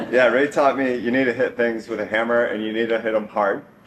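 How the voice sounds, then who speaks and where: Medium-pitched male speech against noticeable background noise. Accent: American. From Northern California. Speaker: software engineer, grandson giving eulogy. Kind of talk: eulogy. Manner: hesitant, many fillers.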